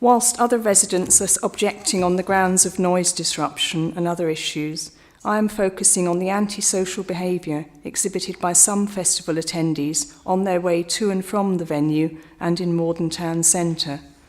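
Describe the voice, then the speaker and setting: A woman with an ordinary speaking voice talks at a moderate pace with hardly any pauses. Her medium pitch shows ordinary pitch variation. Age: 60s. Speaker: objecting local resident. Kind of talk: prepared statement at council hearing. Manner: formal.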